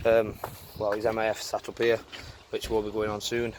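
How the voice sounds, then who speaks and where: A man's voice over noticeable background noise. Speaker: car DIY youtuber. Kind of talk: tutorial. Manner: loud.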